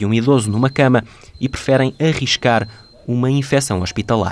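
A man with a normal speaking voice talks at medium pitch, a moderate pace and ordinary pitch variation. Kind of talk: scripted narration.

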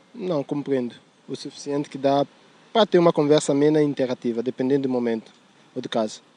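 A man talks at a fairly quick pace with long, frequent pauses, his pitch fairly high and its variation ordinary. The tone is dark and mellow, and the sound is dry and close with no echo. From São Tomé and Príncipe. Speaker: student. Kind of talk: street interview. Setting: outdoors in a city park.

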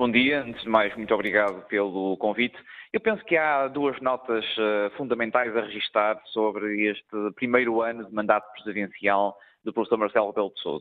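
With an ordinary speaking voice, a man speaks at medium pitch and a moderate pace, keeping his intonation fairly even. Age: young. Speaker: member of parliament. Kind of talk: radio interview.

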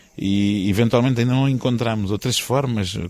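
On a very clean recording with a silent background, a man talks in a plain, everyday voice at a fairly quick pace with ordinary pitch variation. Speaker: historian. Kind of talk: interview. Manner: formal.

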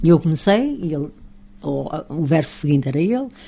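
With lively intonation, a woman speaks in a somewhat breathy voice of dark, mellow tone. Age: 80s+. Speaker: retired radio and TV presenter. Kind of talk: casual interview. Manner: animated, laughing.

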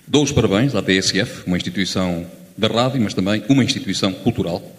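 A fairly low-pitched man at a moderate pace, with ordinary pitch variation and audible room echo. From Lamego, northern Portugal. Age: 50s. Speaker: audience member. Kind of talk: audience contribution. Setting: theatre with audience.

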